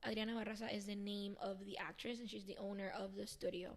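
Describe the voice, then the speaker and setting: Here a woman speaks fairly quickly with a Spanish accent. Her medium-pitched voice keeps a fairly even intonation. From Venezuela. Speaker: dancer and actress. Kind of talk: casual interview.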